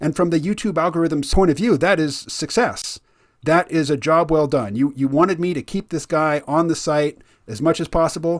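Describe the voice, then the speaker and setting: Speaking with an American accent at a moderate pace, a man has an unremarkable speaking voice, a fairly high pitch and ordinary pitch variation, on a very clean recording with a silent background. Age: 50s. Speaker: podcast host. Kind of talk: interview.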